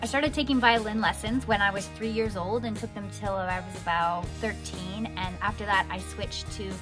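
Moderate-paced speech from a woman over clear background music. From Canada. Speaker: voice actor. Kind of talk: casual talk to camera. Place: home room. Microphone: studio mic.

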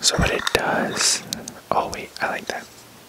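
A soft-spoken man whispering at a fairly slow pace, dry sound with no echo, noticeable background noise behind him. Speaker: ASMR creator. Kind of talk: soft ASMR show-and-tell chat. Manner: soft ASMR whisper. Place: home room. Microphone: studio mic.

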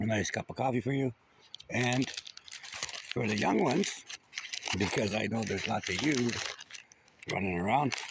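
Noticeable background noise sits behind a man speaking at a moderate pace. The sound is dry, with no echo. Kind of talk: addressing spirits, casual vlog chat. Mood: calm, slightly joking. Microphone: phone near.

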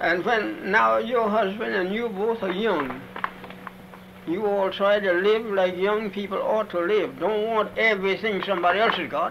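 Over noticeable background noise, a man talks at a moderate pace and a high pitch with fairly even intonation. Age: 80s+. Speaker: former slave. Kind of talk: interview answer. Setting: old archival recording.

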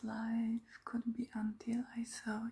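At a very slow pace, a soft-spoken woman talks against a quiet background. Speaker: vlogger reading old letters. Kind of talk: reading letters aloud with casual comments. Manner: soft, hushed ASMR reading voice. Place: home room. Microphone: phone near.

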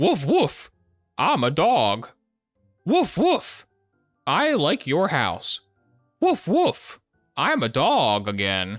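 Over music in the background, a put-on character voice at middle pitch moves at a very slow pace with long, frequent pauses. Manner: unconvincing, repetitive woofing.

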